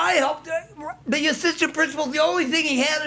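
At a moderate pace, a man projects a raised voice that is extremely high-pitched, with a bright, sharp tone. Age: 60s. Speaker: public commenter at school board meeting. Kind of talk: public comment. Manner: rambling, halting.

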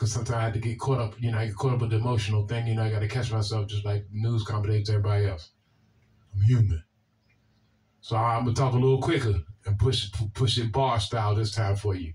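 Speech from a man pours out at a very fast pace, somewhat breathy. His pitch is medium, his intonation fairly even. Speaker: video blogger responding to comments. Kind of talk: casual direct-to-camera commentary. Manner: halting, repeats words. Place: home room.

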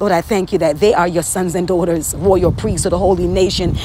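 A woman talks at a very fast pace with a fairly low pitch and fairly even intonation. The sound is dry with no echo, though there is noticeable background noise. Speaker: prayer leader. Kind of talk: fervent prophetic prayer, intercessory, declaring scripture aloud. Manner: impassioned, earnest, rhythmic repetition. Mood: earnest, fervent. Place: home room. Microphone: phone near.

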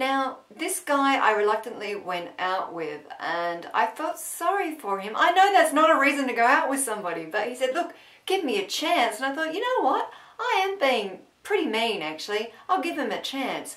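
Over noticeable background noise, a woman talks at a moderate pace with an Australian accent. Her high voice makes very wide pitch swings. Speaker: comedy vlogger. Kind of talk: casual talk to camera.

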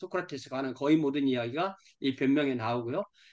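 The speaker is a man. The background is quiet. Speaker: pastor teaching a study group. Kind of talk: lecture. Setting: video call. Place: home room. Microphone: video call.

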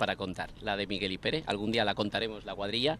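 A man speaks with a bright, sharp tone. The sound is dry with no echo, with light background noise behind him. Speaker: fan group member; interview guest. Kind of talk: interview. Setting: outdoors. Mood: relaxed, anecdotal storytelling. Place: street. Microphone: handheld.

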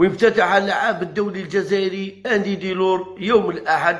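His pace is fairly slow. The voice belongs to a man. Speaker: football commentator vlogger. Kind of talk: football news commentary, partly read.

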